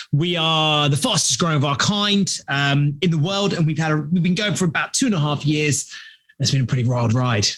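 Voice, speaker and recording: This man has a British accent and a fairly high pitch. He talks at a fairly quick pace with ordinary pitch variation and very even loudness. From London, England. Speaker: startup founder and CEO. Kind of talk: podcast interview. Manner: animated storytelling.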